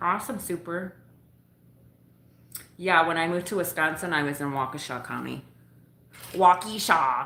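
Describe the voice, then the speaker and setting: A woman's fairly low voice with an American accent, ordinary pitch variation, a moderate pace and long, frequent pauses. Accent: Upper Midwest, noticed on West Coast. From northern Illinois, US Midwest. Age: 40s. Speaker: livestreamer and delivery driver. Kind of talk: casual livestream chat. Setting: at home, between delivery runs. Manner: casual, rambling.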